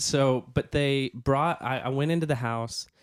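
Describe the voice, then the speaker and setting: A man with a Southern US accent, fairly slow in pace and fairly even in intonation. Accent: Southern American. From US South. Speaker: podcast co-host. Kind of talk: casual chat. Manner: halting.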